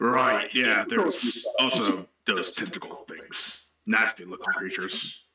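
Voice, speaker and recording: A man's strained, put-on character voice, medium in pitch and fairly slow. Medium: actual play. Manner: informal, rambling with fillers.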